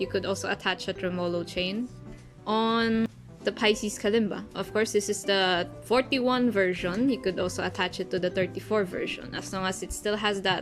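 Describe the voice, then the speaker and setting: Music plays in the background. Over it, a woman speaks at a medium pitch. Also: ordinary pitch variation, moderate pace. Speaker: kalimba player. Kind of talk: casual tutorial talk to camera.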